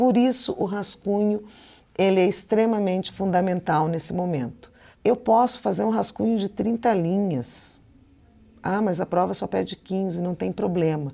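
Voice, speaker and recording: A woman's medium-pitched, dark, mellow voice in a Curitiba accent, with ordinary pitch variation and a moderate pace. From Curitiba, Brazil. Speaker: Portuguese teacher. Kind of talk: lecture. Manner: casual, conversational.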